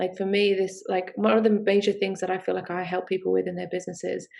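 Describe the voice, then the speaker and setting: With a strong Australian accent and vocal fry, the speaker talks at a very fast pace in a monotone, flat intonation. The background is quiet. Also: woman. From UK. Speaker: sex coach and business founder. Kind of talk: podcast interview. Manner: hesitant with many fillers.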